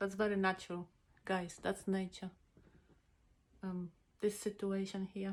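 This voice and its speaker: At a fairly slow pace, a woman speaks at medium pitch in a monotone, flat intonation, with long, frequent pauses. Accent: non-native. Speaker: makeup vlogger. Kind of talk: makeup tutorial. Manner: casual, halting with many fillers.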